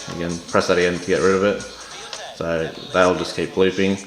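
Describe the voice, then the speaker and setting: A man with a rather low voice talks while distinct noise carries on behind him. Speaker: product reviewer. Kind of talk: casual talk to camera. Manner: casual, hesitant.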